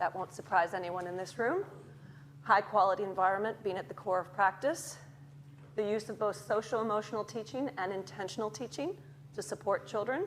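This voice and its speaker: A woman with a normal speaking voice and an American accent, medium in pitch, with lively intonation at a fairly quick pace. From Chicago, US. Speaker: academic researcher in early childhood education. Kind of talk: lecture. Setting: lecture theatre with audience.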